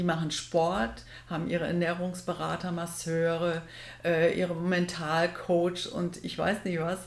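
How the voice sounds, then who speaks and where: Amid audible room echo, a woman with fairly low pitch speaks at a fairly slow pace in a monotone, flat intonation. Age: 60s. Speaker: triathlete and office assistant. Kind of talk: casual interview.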